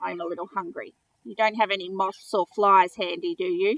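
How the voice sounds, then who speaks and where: A woman does a croaky put-on character voice at medium pitch, with lively intonation, a moderate pace, and a dry, close sound with no echo. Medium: read story. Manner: formal, precise.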